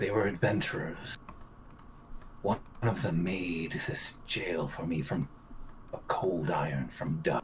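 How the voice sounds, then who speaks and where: A man's put-on character voice, very deep and low, at a fairly slow pace with long, frequent pauses and clear background noise. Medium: actual play. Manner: archaic, cryptic.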